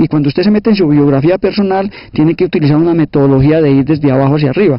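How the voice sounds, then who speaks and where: Very fast and high-pitched, a man speaks with ordinary pitch variation. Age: 60s. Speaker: sociologist and teacher, former guerrilla. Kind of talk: interview. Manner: hesitant, repeats words.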